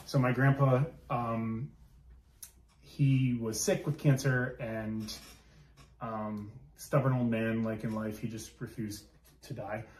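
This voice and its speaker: Speaking at a very slow pace with long, frequent pauses, a man keeps a medium pitch and fairly even intonation. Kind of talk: casual chat. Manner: loud; hesitant, many fillers.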